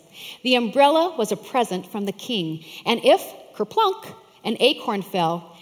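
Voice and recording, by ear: Here someone is reading aloud in a natural voice.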